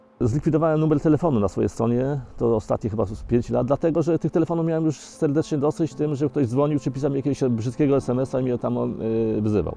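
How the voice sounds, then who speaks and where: A man with lively intonation at a very fast pace, music in the background. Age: 60s. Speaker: environmental activist. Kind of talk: documentary interview answer.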